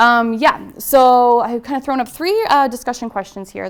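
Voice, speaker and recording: The woman speaks at a high pitch. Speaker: PhD student researcher. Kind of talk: lecture. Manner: fast.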